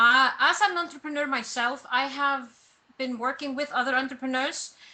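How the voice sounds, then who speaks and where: Speaking with an Icelandic accent, a woman uses a raised, projected voice, high in pitch with a bright, sharp tone, ordinary pitch variation and a moderate pace. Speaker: personal branding coach. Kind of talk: interview.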